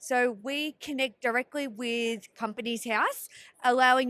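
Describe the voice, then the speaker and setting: High-pitched and bright, sharp in tone, a woman with an Australian accent speaks at a moderate pace with ordinary pitch variation in a dry, close sound with no echo. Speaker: software company representative. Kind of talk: trade show interview.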